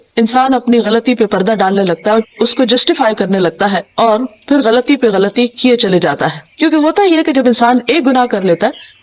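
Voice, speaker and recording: Lively intonation runs through very even loudness, with noticeable background noise behind it. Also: woman, fairly high pitch for a woman. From Pakistan. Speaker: Islamic scholar and preacher. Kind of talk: religious lecture.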